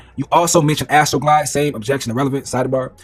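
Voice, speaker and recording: Music can be heard in the background. A man speaks over it. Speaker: commentator reading court transcript. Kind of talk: reading aloud with commentary. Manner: halting.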